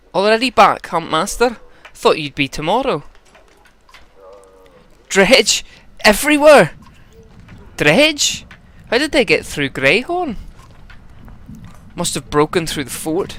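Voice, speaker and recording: A man puts on a gruff character voice with a Scottish accent, high pitch and very wide pitch swings, speaking at a fairly slow pace with long, frequent pauses. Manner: gruff, milder.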